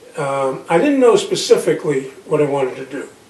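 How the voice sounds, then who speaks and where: There is audible room echo around this man's voice. He speaks at a moderate pace. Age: 80s+. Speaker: retired business professional. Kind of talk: interview.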